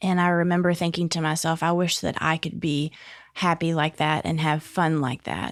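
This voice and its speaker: In a very clean recording with a silent background, a woman with a Southern US accent talks at a fairly low pitch with monotone, flat intonation. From Northeast Arkansas. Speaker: addiction support home director. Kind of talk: interview answer.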